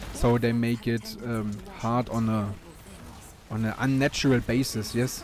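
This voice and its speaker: With noticeable background noise, a speaker in a German accent talks fairly slowly in a monotone, flat intonation. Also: man, medium pitch for a man. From Germany. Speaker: gaming YouTuber. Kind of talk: gameplay commentary. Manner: halting, frequent fillers and repeats.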